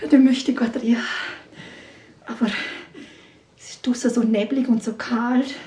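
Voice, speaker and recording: A woman with a Vorarlberg accent talks at a high pitch, her loudness swinging widely and her speech broken by long, frequent pauses over noticeable background noise. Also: moderate pace. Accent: Vorarlberg Alemannic-tinged Austrian German. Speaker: storyteller. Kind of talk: live folk-tale storytelling to an audience, ghost story. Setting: stage with live audience. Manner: animated, conversational, playful voices for characters; addresses listeners directly, with asides and laughter.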